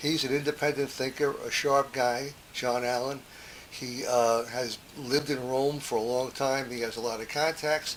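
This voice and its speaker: A man speaks in a monotone with flat intonation. There is noticeable background noise. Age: 70s. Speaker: podcast host. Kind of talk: memoir monologue. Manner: halting, many fillers.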